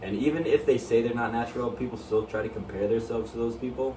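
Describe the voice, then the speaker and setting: Speech from a man with audible room echo, noticeable background noise and ordinary pitch variation. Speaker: fitness YouTuber. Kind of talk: casual chat. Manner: halting.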